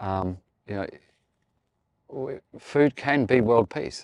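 In an Australian accent, a man talks at a medium pitch with ordinary pitch variation, recorded very cleanly against a silent background with a dry, close sound and no echo. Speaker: chef. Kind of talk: casual chat while cooking outdoors. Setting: outdoors in the desert at a barbecue.

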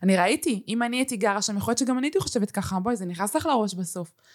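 A woman with medium pitch and an ordinary speaking voice uses lively intonation. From Israel, family from Uruguay. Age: 20s. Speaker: influencer and content creator. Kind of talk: casual interview chat.

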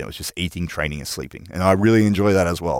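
At a very fast pace, a man with vocal fry and ordinary pitch variation talks in an Australian accent, with a dry, close sound and no echo. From Australia, New South Wales. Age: 30s. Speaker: gym owner and personal trainer. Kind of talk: interview. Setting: studio.

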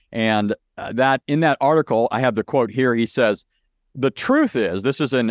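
A man speaks at a moderate pace in a medium pitch, with ordinary pitch variation and an unremarkable speaking voice. The sound is dry and close with no echo, over a quiet background. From Southern California. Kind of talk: interview on religion.

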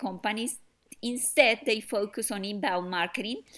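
With a Spanish accent, a woman speaks at a fairly high pitch. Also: very clean recording, silent background. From Colombia. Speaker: software startup founder. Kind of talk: interview.

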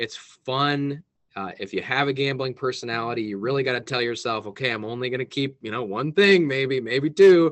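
A man's plain, everyday voice, medium in pitch, with ordinary pitch variation and a fairly quick pace. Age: 20s. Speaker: business owner. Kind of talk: casual chat. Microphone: connection dropped out.

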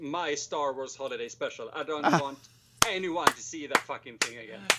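Over noticeable background noise, a man with a Swedish accent speaks at a moderate pace in a fairly high pitch, with big swings in loudness. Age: 20s. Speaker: podcast guest, filmmaker.

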